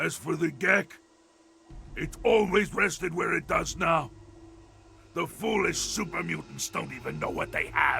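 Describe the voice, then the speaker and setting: Shouting in a put-on character voice, a man keeps a moderate pace and a high pitch, with long, frequent pauses. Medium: video game. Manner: articulate, measured, erudite.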